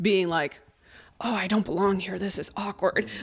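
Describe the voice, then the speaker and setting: A woman speaks at a medium pitch with ordinary pitch variation. The recording is very clean, the background silent. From Chicago, US Midwest (moved from Mexico City at five). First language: Spanish. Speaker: artist and life coach. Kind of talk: casual interview chat.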